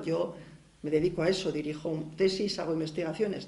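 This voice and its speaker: There is noticeable background noise and audible room echo. A woman speaks at a fairly low pitch with ordinary pitch variation. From Basque Country. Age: 50s. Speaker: university researcher and feminist activist. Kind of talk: lecture. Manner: halting.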